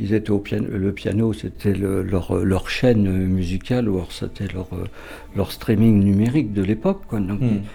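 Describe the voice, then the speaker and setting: A man speaks slowly-ish, at a fairly slow pace. His fairly low pitch carries a dark, mellow tone. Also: fairly even intonation. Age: 70s. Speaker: composer. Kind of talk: interview.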